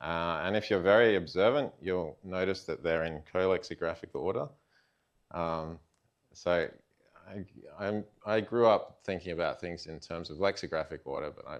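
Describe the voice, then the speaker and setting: With an Australian accent, a man with a very deep, low pitch and ordinary pitch variation speaks at a moderate pace with big swings in loudness and long, frequent pauses over a quiet background. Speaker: computer science researcher. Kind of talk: lecture. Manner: many fillers, hesitant.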